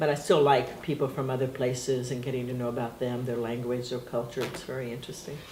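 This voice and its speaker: The speech comes at a very fast pace with hardly any pauses, in a Portuguese accent. Noticeable background noise is audible. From Brazil, adopted to US at seven. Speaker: interviewee. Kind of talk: family history interview.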